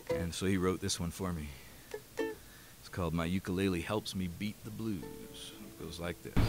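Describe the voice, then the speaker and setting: A man with a very deep, low pitch and ordinary pitch variation speaks in a dry sound with no echo as clear music plays in the background. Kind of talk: spoken song introduction, then singing. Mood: relaxed, storytelling. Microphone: studio mic.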